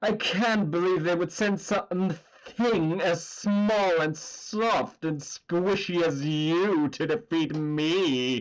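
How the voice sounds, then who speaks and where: A put-on character voice at a middle pitch, very slow in pace, with hardly any pauses. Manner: mocking, disdainful.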